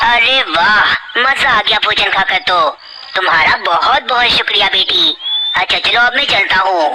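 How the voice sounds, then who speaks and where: A cartoonish character voice with a fairly high pitch speaks at a moderate pace over clear background noise. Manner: deceitful.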